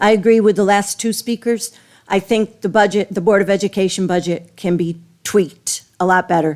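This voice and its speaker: With an ordinary speaking voice, a woman talks at a medium pitch and a moderate pace with fairly even intonation. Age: 60s. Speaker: resident speaking at public hearing. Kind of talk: public comment at budget hearing.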